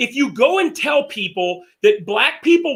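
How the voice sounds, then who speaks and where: This man talks loudly, his pitch swinging very widely. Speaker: show host. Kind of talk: casual debate discussion.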